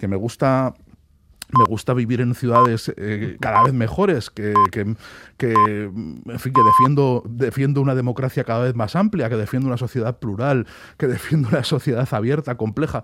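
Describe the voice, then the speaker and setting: Bright, sharp tone from a man at medium pitch, moving at a moderate pace. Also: ordinary pitch variation. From Spain. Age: 40s. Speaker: author. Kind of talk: radio interview.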